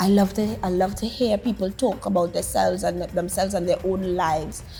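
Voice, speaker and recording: Music plays in the background as a woman talks at a moderate pace with ordinary pitch variation. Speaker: talk show guest. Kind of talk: interview monologue.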